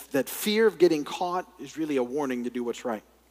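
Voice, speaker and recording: A man talks in an ordinary speaking voice, pitched fairly high. His pitch varies in an ordinary way. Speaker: pastor, Bible teacher. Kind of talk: Bible study lecture.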